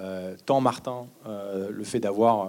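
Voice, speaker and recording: A man talks with a dark, mellow tone and ordinary pitch variation. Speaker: film producer. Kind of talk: post-screening Q&A. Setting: stage with audience.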